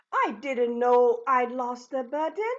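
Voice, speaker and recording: A woman puts on a character voice, pitched high. She talks at a fairly slow pace. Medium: read story. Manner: wondering, innocent.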